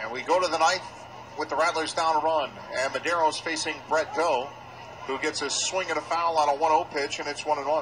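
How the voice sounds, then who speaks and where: A man's fairly high-pitched voice, its intonation fairly even, comes through noticeable background noise. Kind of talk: live baseball play-by-play commentary. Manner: fast, fluent play-by-play delivery, calling each pitch and count as it happens; lightly amused and conversational, joking about the umpire.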